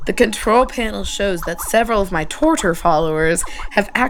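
Someone gives a plain reading aloud.

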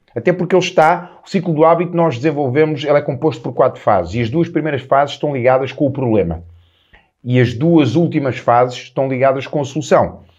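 A man's plain, everyday voice, fairly high in pitch with lively intonation, over a quiet background. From Portugal, Lisbon. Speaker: self-improvement coach, podcast host. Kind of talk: solo motivational talk.

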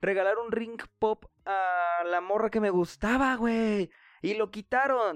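An animated man with a Mexican accent, in a dry, close sound with no echo over a quiet background. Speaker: podcast host. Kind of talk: casual monologue.

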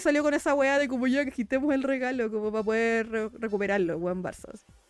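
A woman with a Chilean accent talking at a very fast pace, music playing in the background. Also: hardly any pauses. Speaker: podcast host. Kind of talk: casual chat.

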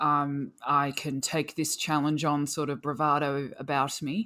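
Recorded very cleanly against a silent background, a woman speaks at a very deep, low pitch with an Australian accent. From rural Australia (Victoria). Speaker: endurance cyclist with type 1 diabetes. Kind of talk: casual interview.

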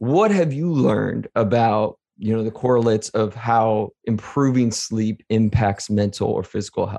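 A man's medium-pitched voice with a dark, mellow tone, ordinary pitch variation, a moderate pace and hardly any pauses. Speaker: podcast host. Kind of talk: casual interview. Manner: enthusiastic.

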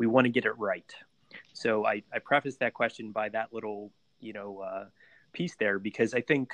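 A man with an American accent uses an ordinary speaking voice at a medium pitch and moderate pace, with fairly even intonation, big swings in loudness, and a dry, close sound with no echo. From Pittsburgh, US. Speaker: podcast host. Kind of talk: interview.

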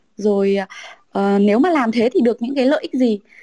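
Lively intonation comes through a dry, close sound with no echo. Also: woman. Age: 30s. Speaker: customer experience manager. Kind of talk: casual panel discussion.

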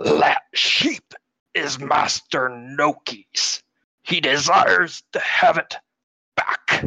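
At a very slow pace, someone performs in a put-on character voice. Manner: blunt, menacing, slow.

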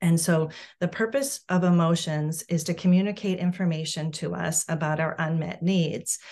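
In a quiet setting, a woman with an American accent speaks at a moderate pace, her fairly low voice somewhat breathy. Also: ordinary pitch variation. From Massachusetts, South Shore. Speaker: parent coach. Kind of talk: interview.

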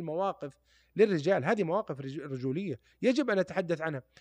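Against a quiet background, a man with a high pitch speaks at a moderate pace with lively intonation, in a dry, close sound with no echo. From Saudi Arabia, Taif. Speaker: former footballer and sports pundit. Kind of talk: podcast interview.

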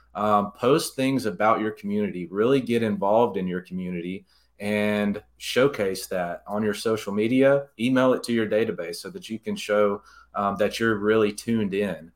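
In a very clean recording with a silent background, a man with an Alabama accent speaks at a moderate pace, his pitch fairly low with ordinary variation. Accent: Southern US (Alabama). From Alabama, US South (Jasper). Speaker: real estate agent. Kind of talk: interview.

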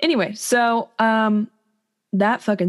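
Vocal fry marks this woman's voice, heard on a very clean recording with a silent background. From Ohio, US Midwest. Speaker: podcaster. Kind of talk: casual chat.

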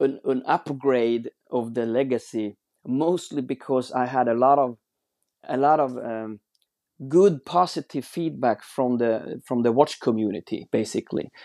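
With a Swedish accent, a man at medium pitch speaks fairly slowly in a dark, mellow tone with ordinary pitch variation, the sound dry and close with no echo. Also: quiet background. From Sweden. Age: 40s. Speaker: watch brand founder. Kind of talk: interview. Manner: halting.

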